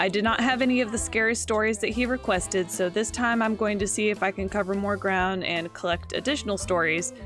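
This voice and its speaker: Music plays in the background as a woman talks at a moderate pace. Her pitch is medium with ordinary variation. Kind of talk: let's play commentary. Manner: casual, conversational.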